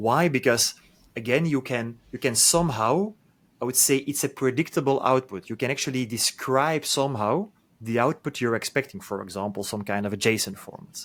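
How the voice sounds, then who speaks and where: This man has a medium pitch and ordinary pitch variation, talking at a moderate pace. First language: not English. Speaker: podcast host. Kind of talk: interview conversation. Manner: halting, many repetitions.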